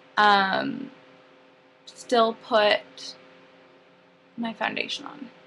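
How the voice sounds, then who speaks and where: A woman with a fairly high pitch talks at a very slow pace, using ordinary pitch variation and long, frequent pauses. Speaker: makeup artist. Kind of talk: tutorial. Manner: casual, filler-heavy.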